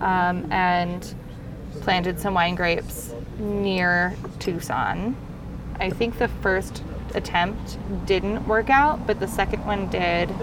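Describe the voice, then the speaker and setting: Very slowly and with long, frequent pauses, a woman speaks through audible room echo and noticeable background noise. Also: medium pitch for a woman, fairly even intonation. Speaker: winemaker. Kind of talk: casual chat. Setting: outdoors.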